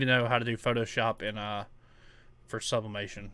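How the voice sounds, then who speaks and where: A man with a strong Tennessee accent, a bright, sharp tone, fairly even intonation and a fairly quick pace. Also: very clean recording, silent background. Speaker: crafter streaming custom order work. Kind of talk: casual live stream chat. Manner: casual, halting with fillers.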